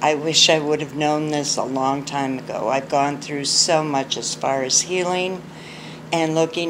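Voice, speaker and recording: A woman's very deep, low voice amid audible room echo and noticeable background noise. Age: 60s. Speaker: abuse survivor sharing her story. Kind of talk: personal testimony.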